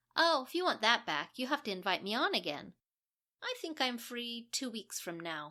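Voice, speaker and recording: A woman uses a put-on character voice, raised and projected, with very wide pitch swings. Her pitch is fairly high and her pace moderate. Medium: read story. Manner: breezy, nonchalant.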